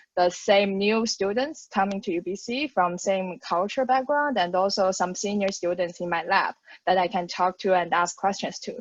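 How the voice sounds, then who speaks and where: A woman talks with a Mandarin accent. She speaks at a moderate pace. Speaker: graduate student. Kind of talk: panel discussion.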